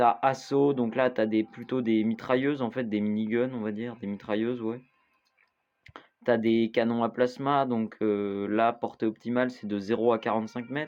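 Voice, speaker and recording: The man speaks at a medium pitch in a monotone, flat delivery. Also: moderate pace. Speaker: gaming youtuber. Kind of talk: gameplay tutorial. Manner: halting, many fillers.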